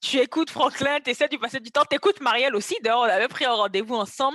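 Dry and close with no echo, a woman's voice has lively intonation and a bright, sharp tone. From Ivory Coast. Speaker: fashion model and content creator. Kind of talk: podcast interview.

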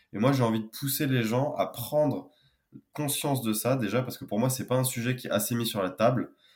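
A man talks at a moderate pace in a medium pitch with fairly even intonation. It is a normal speaking voice. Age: 20s. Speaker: engineer and wellbeing founder. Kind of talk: podcast interview.

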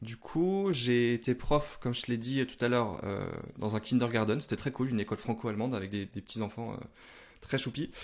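On a very clean recording with a silent background, a man with a normal speaking voice at medium pitch talks at a fairly quick pace with ordinary pitch variation. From northern France (Lille). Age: 30s. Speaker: e-commerce entrepreneur. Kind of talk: interview.

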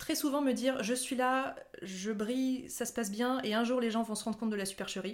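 With an ordinary speaking voice, a woman talks fairly quickly at a fairly high pitch and with fairly even intonation. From France, Haute-Savoie. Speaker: nurse turned content creator. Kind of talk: casual interview.

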